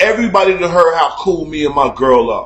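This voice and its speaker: Loud and animated, a man speaks with an American accent. His pitch is high, with ordinary pitch variation. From Chicago. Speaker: online talk show host. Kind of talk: casual rant.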